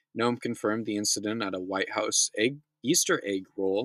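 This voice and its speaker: A man with an American accent and a bright, sharp tone, in a dry, close sound with no echo on a very clean recording with a silent background. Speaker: news recap host. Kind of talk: news reading with commentary. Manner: fast.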